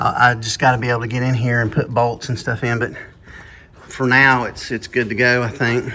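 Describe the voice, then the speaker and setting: There is noticeable background noise as a man with an American accent speaks at a medium pitch. He keeps a moderate pace with monotone, flat intonation and long, frequent pauses. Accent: redneck. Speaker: car restoration YouTuber. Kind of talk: workshop tutorial. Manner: casual, halting with fillers.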